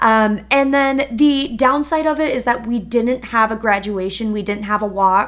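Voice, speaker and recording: Speaking with an Upper Midwest accent, a woman uses a fairly high pitch, ordinary pitch variation and a moderate pace. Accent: Upper Midwest American. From Minnesota. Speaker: podcast co-host. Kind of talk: casual chat.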